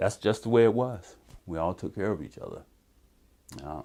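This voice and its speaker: A very clean recording with a silent background, in an American accent. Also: man. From Cleveland, Ohio. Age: 60s. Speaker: army veteran and community researcher. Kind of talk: oral history interview. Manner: halting, with fillers.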